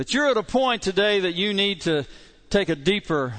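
A man with a Kentucky accent and lively intonation against a quiet background. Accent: Kentucky Southern US. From southeastern Kentucky. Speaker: pastor. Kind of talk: sermon. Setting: church.

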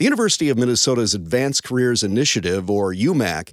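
This man has a plain, everyday voice at a medium pitch, with lively intonation. The recording is very clean with a silent background. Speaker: radio host. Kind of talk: radio host narration.

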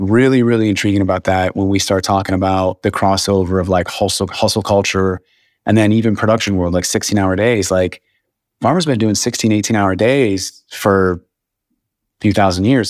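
A man with an American accent, fairly low pitch, fairly even intonation, very even loudness and a fairly quick pace, on a very clean recording with a silent background. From US Midwest, northwest Ohio. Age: 40s. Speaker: photographer and cinematographer. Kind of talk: casual interview chat.

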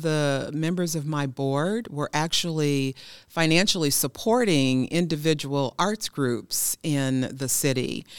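In a very clean recording with a silent background, a speaker with an American accent goes at a fairly slow pace with ordinary pitch variation. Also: woman. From Milwaukee, Wisconsin. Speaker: arts nonprofit director. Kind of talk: casual chat.

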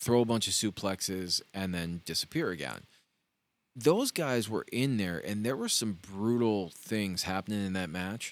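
Here a man has a normal speaking voice, fairly low in pitch with ordinary pitch variation. He speaks at a moderate pace in a very clean recording with a silent background. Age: 40s. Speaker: wrestling podcast co-host. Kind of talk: casual chat. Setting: studio.

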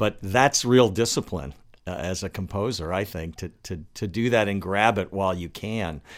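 A man's fairly low pitch, ordinary pitch variation and moderate pace, in a normal speaking voice. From Washington, D.C. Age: 60s. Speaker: guitarist and podcast host. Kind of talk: casual interview chat. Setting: remote call.

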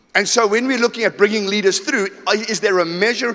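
A high-pitched man in an animated tone, at a moderate pace with ordinary pitch variation, over noticeable background noise. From South Africa, KwaZulu-Natal and Johannesburg. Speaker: pastor. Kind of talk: sermon.

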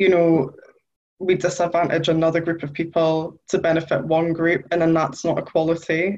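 With a Geordie accent, a woman speaks at a moderate pace in a fairly low pitch. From northern England, Newcastle. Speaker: journalist. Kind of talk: interview.

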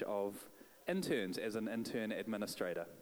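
The man speaks at a moderate pace in a New Zealand accent. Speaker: church leader. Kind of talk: prayer and introduction. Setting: church.

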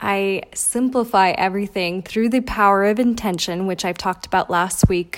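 A woman with an ordinary speaking voice talks at a medium pitch and a moderate pace. Her intonation is fairly even, on a very clean recording with a silent background. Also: hardly any pauses. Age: 20s. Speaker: podcast host. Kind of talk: motivational monologue.

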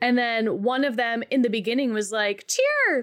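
A woman speaks at a moderate pace in an unremarkable speaking voice, pitched fairly high. The recording is very clean, with a silent background. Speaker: podcast co-host. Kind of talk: casual chat.

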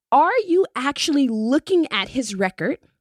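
A woman at a fairly slow pace with very wide pitch swings, in a dry, close sound with no echo. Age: 40s. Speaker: community radio talk show host. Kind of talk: radio DJ station-ID patter, reading call-in number and social media plugs; community radio talk show, casual conversational monologue on politics and policing. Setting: radio studio, simulcast live on Facebook. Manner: warm, chatty, filler-heavy (um, uh), repeats words while thinking; friendly upbeat announcer cadence, briskly listing numbers and ways to join.

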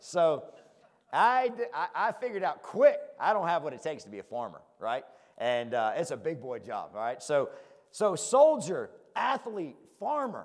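Using a Southern US accent, a man speaks in an animated tone at a moderate pace, his loudness swinging widely between long, frequent pauses. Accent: Southern country. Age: 40s. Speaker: preacher. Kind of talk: sermon.

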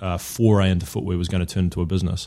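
A man with a New Zealand accent speaks in a very deep, low voice. His intonation stays fairly even. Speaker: shoe company co-founder, former professional footballer. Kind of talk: interview. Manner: halting, many false starts.

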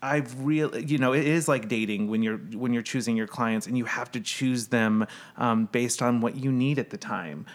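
A man speaks with an American accent in an ordinary speaking voice at medium pitch. His pace is moderate and his intonation fairly even. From US Midwest. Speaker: brand strategist. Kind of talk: casual chat.

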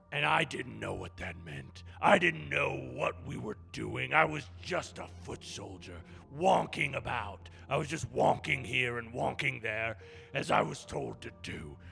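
A man puts on a character voice that is raspy and very deep, with very wide pitch swings and big shifts in loudness at a fairly slow pace. Clear background noise runs under the recording. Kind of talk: comic overacting. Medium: comedy sketch. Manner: blustering, crude, short-tempered.

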